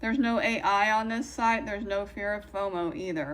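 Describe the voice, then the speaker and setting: Audible room echo surrounds a woman speaking at a moderate pace with ordinary pitch variation. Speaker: craft video creator. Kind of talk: product review. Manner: loud.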